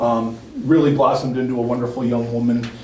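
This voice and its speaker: A man at a medium pitch, with noticeable background noise and audible room echo. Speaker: regional education services administrator. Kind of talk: board meeting presentation. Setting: school board meeting. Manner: fast.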